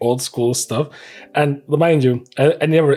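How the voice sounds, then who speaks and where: In a very clean recording with a silent background, a man with a non-native accent speaks with fairly even intonation. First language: not English. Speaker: trading card unboxing youtuber. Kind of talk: casual unboxing commentary. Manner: relaxed, hesitant with fillers.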